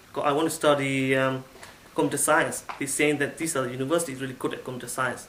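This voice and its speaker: With a Burmese accent, a man speaks at a fairly high pitch over noticeable background noise, with audible room echo. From Myanmar, Yangon. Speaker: IT assistant manager, former international student. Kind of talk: testimonial. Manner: halting.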